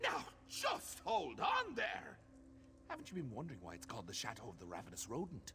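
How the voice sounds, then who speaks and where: This put-on character voice has a theatrical tone and a fairly quick pace, with clear background noise behind it. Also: man. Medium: video game. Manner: whimsical, theatrical, mischievous.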